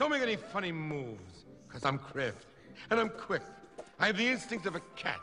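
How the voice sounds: Over faint background music, a man in a cartoonish character voice speaks at a moderate pace, fairly high in pitch with a bright, sharp tone and very wide pitch swings.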